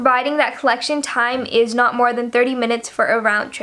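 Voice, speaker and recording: The speaker has an American accent and fairly even intonation. Noticeable background noise is present. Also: woman. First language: Nepali. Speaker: YouTuber. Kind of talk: informal explainer video. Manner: hesitant, many fillers.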